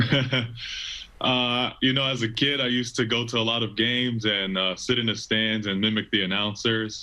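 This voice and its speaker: Against noticeable background noise, a man speaks in a flat monotone at a moderate pace and medium pitch. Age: 20s. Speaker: stadium PA announcer and college student. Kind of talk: casual interview answer.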